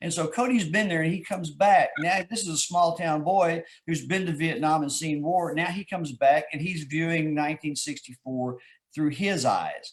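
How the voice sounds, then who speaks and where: A man's high-pitched voice with ordinary pitch variation and a Texas accent. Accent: Texas drawl. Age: 60s. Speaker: author. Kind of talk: interview. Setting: live video stream.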